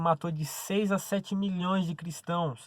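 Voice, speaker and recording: Recorded dry and close with no echo on a very clean, silent background, a man speaks in a high pitch at a moderate pace with ordinary pitch variation. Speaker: preacher. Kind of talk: sermon.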